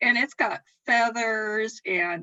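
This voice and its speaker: In a Southern US accent, a woman speaks with a fairly high pitch and lively intonation. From US South. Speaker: calligraphy scroll artist. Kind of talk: casual chat. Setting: live stream.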